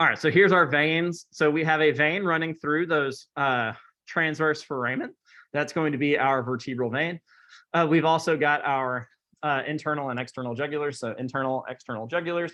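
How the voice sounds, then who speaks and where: A man talks at a fairly quick pace with a fairly high pitch. He has an unremarkable speaking voice. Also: ordinary pitch variation. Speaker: anatomy instructor. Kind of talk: lecture.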